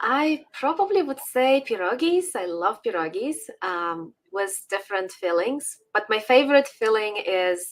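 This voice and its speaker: Very wide pitch swings at a fairly slow pace, with hardly any pauses. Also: woman. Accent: Ukrainian. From Ukraine. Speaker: political commentator. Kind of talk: casual interview chat. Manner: hesitant with fillers.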